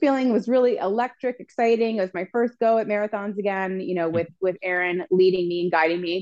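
An ordinary speaking voice with an American accent, a fairly quick pace and ordinary pitch variation. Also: woman. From US East Coast, Washington DC. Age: 40s. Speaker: amateur marathon runner. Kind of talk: casual chat.

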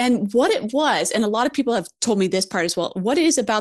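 A woman with an unremarkable speaking voice, fairly high-pitched, speaks with lively intonation. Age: 30s. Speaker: adult content creator and vlogger. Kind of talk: casual interview chat.

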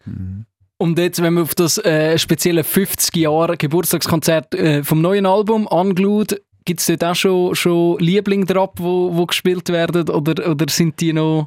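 This man talks at a fairly slow pace in a high pitch, keeping his intonation fairly even. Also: dry, close sound with no echo. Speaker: radio host. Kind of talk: casual interview.

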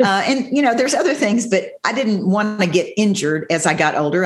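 Over noticeable background noise, a woman with a medium pitch talks at a very fast pace with very wide pitch swings. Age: 60s. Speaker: bodybuilding competitor. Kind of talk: interview.

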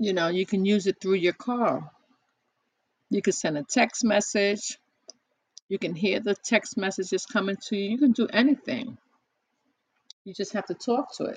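An animated, somewhat breathy woman's voice at a moderate pace, with long, frequent pauses and a dry, close sound with no echo. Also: medium pitch for a woman, ordinary pitch variation. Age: 50s. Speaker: podcast host. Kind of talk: casual chat.

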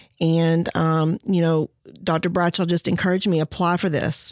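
In a Kentucky accent, a woman with a fairly low pitch speaks at a moderate pace in a monotone, flat delivery, the sound dry and close with no echo. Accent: Kentucky Southern. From western Kentucky (Henderson County). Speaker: college diversity coordinator, former teacher. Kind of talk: interview.

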